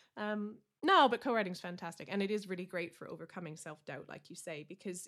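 With vocal fry and ordinary pitch variation, a woman speaks at medium pitch. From Canada. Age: 40s. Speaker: country singer-songwriter. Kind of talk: casual interview.

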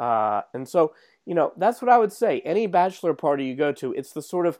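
The pitch swings very widely. The sound is dry and close with no echo, over a quiet background. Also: man. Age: 40s. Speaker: sports podcast co-host. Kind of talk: casual sports chat.

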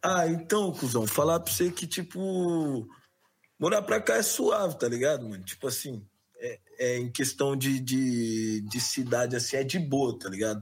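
Talking at a fairly slow pace, a man has an ordinary speaking voice at medium pitch with lively intonation. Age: 20s. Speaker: rapper. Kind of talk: casual chat.

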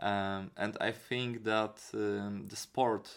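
At a very slow pace, a man speaks with a strong Polish accent in a fairly low-pitched voice. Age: 20s. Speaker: kickboxing trainer and musician. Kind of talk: casual interview chat. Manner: halting, searching for words.

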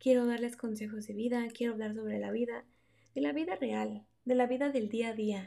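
A woman with a Mexican accent speaks at a high pitch. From Mexico. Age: 20s. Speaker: podcast host. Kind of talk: casual monologue. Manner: unscripted, hesitant.

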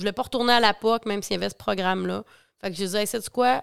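This woman has an ordinary speaking voice with a fairly high pitch. Her intonation stays fairly even. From Quebec, Bas-Saint-Laurent. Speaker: agricultural mental health worker. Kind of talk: casual interview.

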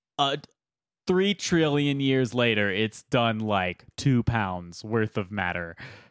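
A man speaks very slowly with lively intonation. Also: medium pitch for a man. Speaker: podcast co-host. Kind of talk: casual banter. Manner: joking, sarcastic.

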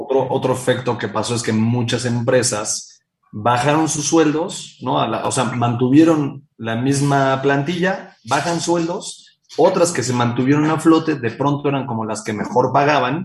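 A man speaks in an unremarkable speaking voice at a medium pitch. His pace is fairly slow, with ordinary pitch variation. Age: 30s. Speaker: company founder and CEO. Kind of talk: interview.

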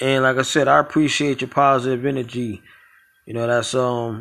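A man with an American accent speaks at a fairly quick pace. His pitch is medium and his intonation monotone and flat. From New York, Brooklyn. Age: 40s. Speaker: podcast host. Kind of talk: casual interview.

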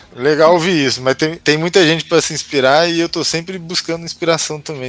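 A fairly high-pitched man talks fairly quickly, with noticeable background noise around him. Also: hardly any pauses. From interior of São Paulo state, Brazil (Franca). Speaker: comic book author. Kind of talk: podcast interview.

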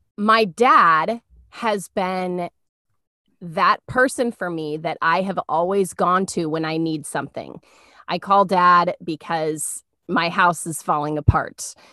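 A woman's fairly low voice, bright and sharp in tone, with ordinary pitch variation, dry and close with no echo, over a quiet background. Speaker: podcast co-host. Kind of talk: casual faith talk. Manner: warm, conversational.

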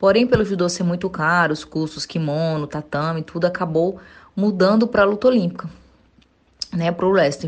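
Here a woman uses a normal speaking voice, fairly low in pitch. She moves at a moderate pace with ordinary pitch variation. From Brazil, interior of Goiás. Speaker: Olympic wrestler. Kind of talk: interview.

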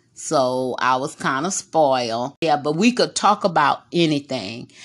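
A woman with a Texas accent, fairly slow and lively in intonation, against a quiet background. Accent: Texas Southern. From Texas, Corpus Christi. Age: 60s. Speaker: host's mother. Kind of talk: casual chat.

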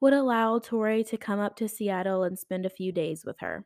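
A woman speaks in a plain, everyday voice at medium pitch with ordinary pitch variation and a moderate pace, on a very clean recording with a silent background and a dry, close sound with no echo. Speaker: true crime podcast host. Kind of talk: true-crime narration, read steadily from a script with quoted dialogue. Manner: conversational and casual in intros, rambling and self-correcting; even, storytelling pace in narration, gravely indignant about the killers.

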